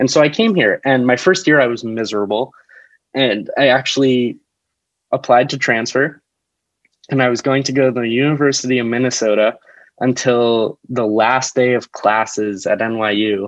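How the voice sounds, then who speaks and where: A man with an ordinary speaking voice, moderate pace and fairly even intonation. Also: medium pitch for a man. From New Jersey, US. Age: 20s. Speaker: actor and comedian. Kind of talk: casual chat. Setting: video call.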